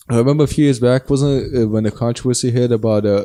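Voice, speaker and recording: Man with a dark, mellow tone and fairly even intonation, in a very clean recording with a silent background. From Germany. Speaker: podcast co-host. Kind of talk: casual chat. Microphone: new mic stands setup.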